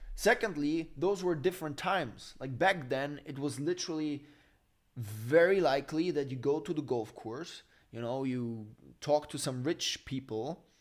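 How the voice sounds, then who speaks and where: With a German accent, this man talks at a moderate pace in a fairly high voice, sounding animated, with ordinary pitch variation on a very clean recording over a silent background. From Germany. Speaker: finance YouTuber. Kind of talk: live stream Q&A.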